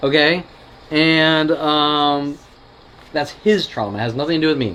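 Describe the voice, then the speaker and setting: A fairly high-pitched man at a fairly slow pace, with ordinary pitch variation, against noticeable background noise. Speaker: video blogger. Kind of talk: casual chat. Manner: animated.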